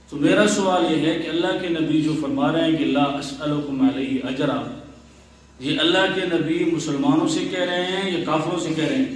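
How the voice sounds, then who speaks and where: A man's fairly high-pitched voice with ordinary pitch variation, audible room echo and light background noise. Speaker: Islamic scholar giving a sermon. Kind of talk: Islamic sermon (bayan) in Urdu.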